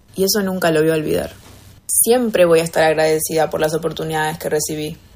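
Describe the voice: At a fairly quick pace, a woman speaks in a low pitch with a slightly mellow tone.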